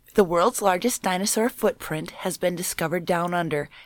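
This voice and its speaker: A woman with an American accent, medium pitch and moderate pace, in an ordinary speaking voice. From Minnesota. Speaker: paranormal enthusiast panelist. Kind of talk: reading news stories aloud.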